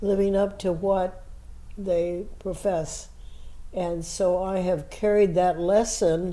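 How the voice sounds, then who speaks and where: In an American accent, a woman of medium pitch speaks at a very slow pace with monotone, flat intonation and a dark, mellow tone, with audible room echo around her. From US Midwest (Indiana, near Indianapolis). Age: 80s+. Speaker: activist interviewee. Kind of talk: oral history interview.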